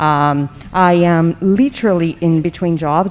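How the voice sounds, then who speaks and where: With a Portuguese accent, a woman speaks at a fairly low pitch. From Brazil. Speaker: tech professional. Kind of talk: conference panel.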